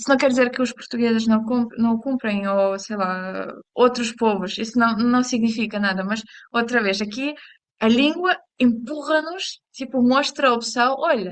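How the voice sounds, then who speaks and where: With a fairly high pitch and ordinary pitch variation, a woman speaks at a fairly slow pace. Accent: Ukrainian. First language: Ukrainian (speaking Portuguese). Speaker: language teacher. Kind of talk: lesson. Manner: halting.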